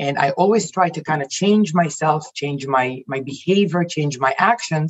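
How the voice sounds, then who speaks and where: A woman's very deep, low voice at a fairly slow pace, with ordinary pitch variation. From Israel. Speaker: life coach and executive. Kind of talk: casual interview chat.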